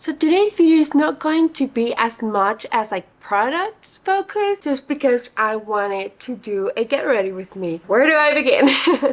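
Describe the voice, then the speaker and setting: A woman's high voice at a moderate pace, with very wide pitch swings, hardly any pauses and noticeable background noise. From Guatemala. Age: 30s. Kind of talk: casual talk to camera. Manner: casual, chatty.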